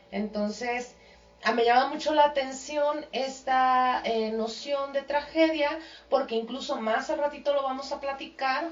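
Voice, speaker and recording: Noticeable background noise accompanies a woman speaking at a fairly slow pace. Her pitch is high, with ordinary pitch variation. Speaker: radio host. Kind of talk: radio talk show.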